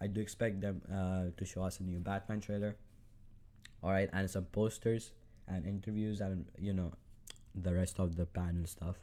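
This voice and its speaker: A man speaks at a moderate pace in a very deep, low pitch with a dark, mellow tone, a non-native accent and monotone, flat intonation. Long, frequent pauses break up his speech in a very clean recording with a silent background. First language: not English. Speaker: solo podcaster, comic film fan. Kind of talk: casual solo monologue. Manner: hesitant, many fillers.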